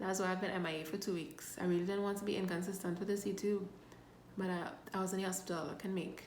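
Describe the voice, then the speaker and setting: Noticeable background noise and audible room echo fill the recording. A woman speaks fairly quickly at a medium pitch in a monotone, flat way. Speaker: health vlogger. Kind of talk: casual vlog.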